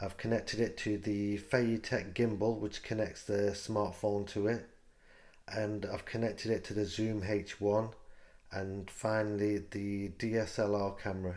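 A man's fairly low, monotone, flat delivery at a fairly slow pace against a quiet background. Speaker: gadget reviewer. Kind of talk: tutorial. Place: kitchen. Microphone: handheld.

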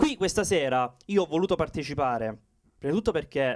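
A man talks fairly quickly, his intonation lively and the background quiet. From southern Italy, Salento (Lecce province, Apulia); Apulia, Italy. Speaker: poet, contest finalist; poetry contest finalist. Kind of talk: acceptance speech. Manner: halting. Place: stage. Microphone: handheld.

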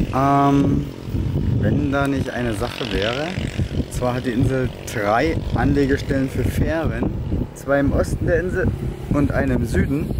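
Loud background noise surrounds a man who talks at a fairly slow pace with long, frequent pauses, in a dry sound with no echo. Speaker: travel vlogger on a bike tour. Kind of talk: casual vlog chat. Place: street. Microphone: phone near.

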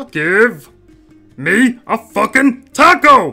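A put-on character voice at a fairly high pitch sounds over faint music in the background. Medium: read story. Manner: aggressive, irritated.

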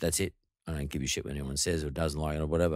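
A man with an Australian accent, in a dry sound with no echo against a quiet background. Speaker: podcast host. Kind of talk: casual interview chat. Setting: studio. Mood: blunt, opinionated. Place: studio. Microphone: studio mic.

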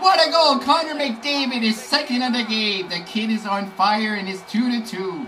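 A strained, hoarse voice with noticeable background noise. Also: man. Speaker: gaming YouTuber. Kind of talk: gameplay commentary, live play-by-play. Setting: home recording over gameplay. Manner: excitable, reactive, exclaiming as plays unfold; hoarse, strained delivery, disappointed at goals against. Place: home room.

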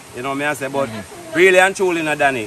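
A very fast-paced man's voice with a Jamaican accent, dry with no echo, over noticeable background noise. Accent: Jamaican Patois-inflected English. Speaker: vlogger. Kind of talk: casual chat. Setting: outdoors. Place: forest. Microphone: phone near.

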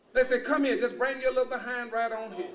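There is light background noise as a man talks with an American accent. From Luling, Texas. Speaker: university administrator and former naval officer. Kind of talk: public lecture to an audience. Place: hall. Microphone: podium.

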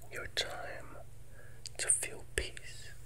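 Whispering, a soft-spoken man talks at a very slow pace. Light background noise can be heard. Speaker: ASMR host. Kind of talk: soothing ASMR affirmation talk. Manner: soft, intimate near-whisper. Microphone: earbuds.

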